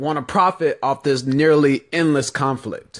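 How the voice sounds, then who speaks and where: Over a quiet background, a man talks at a fairly slow pace with ordinary pitch variation in an unremarkable speaking voice. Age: 20s. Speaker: political podcast host. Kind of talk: solo political commentary. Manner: casual, conversational.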